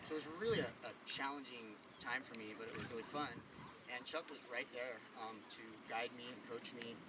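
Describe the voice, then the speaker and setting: Amid noticeable background noise, a man speaks at a moderate pace with a medium pitch. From California, Santa Cruz. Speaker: eulogy speaker. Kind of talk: eulogy at memorial paddle out.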